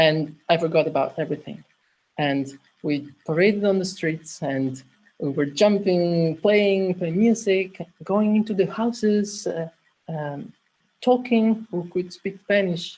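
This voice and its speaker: Speaking at a fairly slow pace, a woman has a dark, mellow tone, a medium pitch, ordinary pitch variation and a somewhat breathy sound. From Italy. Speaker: clown and humanitarian volunteer. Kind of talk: personal story in an online workshop. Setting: video call. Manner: halting.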